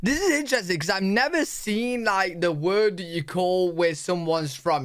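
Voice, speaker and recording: At a moderate pace, the speaker talks with a British accent. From United Kingdom. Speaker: reaction YouTuber. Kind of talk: casual talk to camera.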